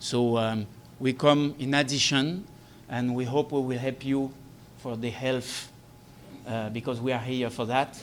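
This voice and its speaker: A man speaks with a French Caribbean accent at a medium pitch and a fairly slow pace. His intonation is fairly even, broken by long, frequent pauses. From Guadeloupe. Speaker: air ambulance company representative. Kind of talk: press briefing speech. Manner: halting.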